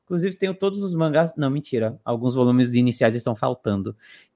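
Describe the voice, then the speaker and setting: A man's voice with very wide pitch swings. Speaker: voice actor and content creator. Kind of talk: casual chat on a live stream. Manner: animated.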